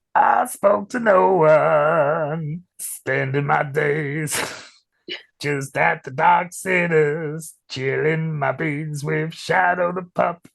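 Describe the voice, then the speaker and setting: This put-on character voice is raspy and middle-pitched, delivered at a very slow pace. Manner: playful, sing-song.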